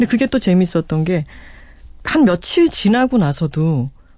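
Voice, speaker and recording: At a moderate pace, a woman with a medium pitch talks in a dark, mellow tone that is somewhat breathy. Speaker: author guest. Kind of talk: casual radio chat. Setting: radio studio.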